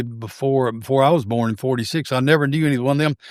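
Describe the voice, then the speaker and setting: A man speaks with a Southern US accent at a medium pitch and ordinary pitch variation. The recording is very clean, with a silent background. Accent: Southern US (Georgia). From US South, Georgia (Forsyth County). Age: 70s. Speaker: retired teacher, coach and collector. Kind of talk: casual interview chat. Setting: home baseball museum.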